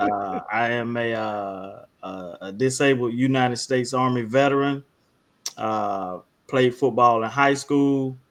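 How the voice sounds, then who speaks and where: Talking fairly slowly in a Southern US accent, a man keeps a medium pitch and fairly even intonation. His loudness swings widely. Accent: Southern US (South Georgia). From South Georgia, US South. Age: 40s. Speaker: high school football coach and army veteran. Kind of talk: casual podcast chat. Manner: halting, many fillers.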